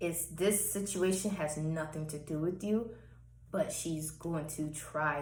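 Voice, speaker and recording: Speaking at a fairly slow pace, a woman has a very deep, low pitch and a somewhat breathy sound. Room echo is audible. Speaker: personal vlogger. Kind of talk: personal testimony monologue.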